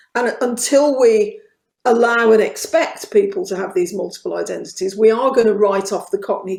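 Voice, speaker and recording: A woman with a Birmingham accent talks at a moderate pace. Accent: Birmingham (Brummie). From Birmingham, England. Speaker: author. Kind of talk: casual conversation.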